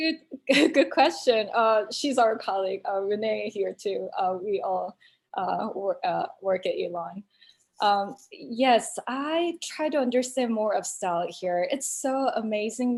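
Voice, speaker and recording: A woman at a fairly high pitch and fairly slow pace, with very wide pitch swings. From South Korea. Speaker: choreographer, dance teacher. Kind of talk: panel Q&A. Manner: halting, many fillers.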